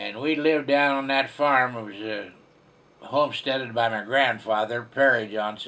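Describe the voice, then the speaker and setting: A male voice of medium pitch with an American accent, bright and sharp in tone, fairly even in intonation, at a moderate pace. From Kansas, US Midwest. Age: 80s+. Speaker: elderly farmer recounting the Dust Bowl. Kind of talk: personal storytelling to schoolchildren. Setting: home video recorded by grandson. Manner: halting, with fillers.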